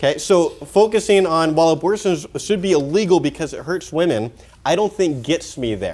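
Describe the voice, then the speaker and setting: A man with a high voice and lively intonation speaks with an American accent. The recording is very clean, with a silent background. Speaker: pro-life speaker. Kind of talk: conference talk. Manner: casual, filler-heavy; fast.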